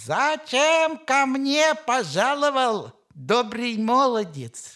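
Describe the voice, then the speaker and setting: A woman puts on a high-pitched character voice and speaks at a very slow pace. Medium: read story.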